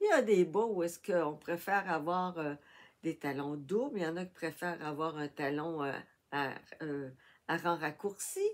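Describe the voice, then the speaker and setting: A woman with a Quebec accent speaks at a moderate pace. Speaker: crafting YouTuber. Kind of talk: tutorial. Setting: home workshop, filming with tablet. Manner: soft-spoken.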